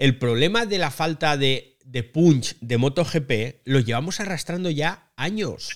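A man speaks at a very slow pace with lively intonation. His pitch is fairly high. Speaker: podcast host. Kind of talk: casual chat. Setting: live recording via online audio room.

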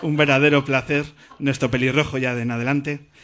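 A man's monotone, flat delivery at a moderate pace. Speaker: radio host. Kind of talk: interview on stage. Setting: stage with audience.

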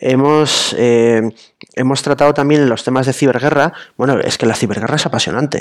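A man talks at a moderate pace in a plain, everyday voice. His intonation is fairly even and his loudness very even. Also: medium pitch for a man. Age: 30s. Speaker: journalist. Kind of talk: casual interview.

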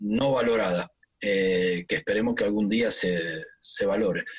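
A man's fairly low voice, an ordinary speaking voice, at a fairly slow pace. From Argentina. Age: 50s. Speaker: physical trainer. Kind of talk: interview.

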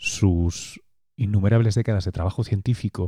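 Fairly low-pitched man in a Spanish accent, somewhat breathy, with a dark, mellow tone, fairly even intonation and a moderate pace, dry and close with no echo on a very clean recording with a silent background. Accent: Spanish (Spain). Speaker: podcast host and science journalist. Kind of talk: scripted narration; interview.

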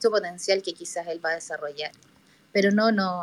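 A woman speaks in an unremarkable speaking voice at medium pitch. Her intonation stays fairly even. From Chile. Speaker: listener participant in live audio room. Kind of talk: casual discussion.

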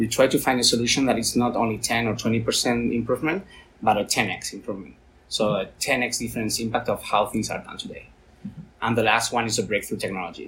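A man speaks with a Spanish accent at a fairly quick pace. His medium pitch has ordinary variation. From Spain, Valencia. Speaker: tech business executive, former rugby player. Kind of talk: interview.

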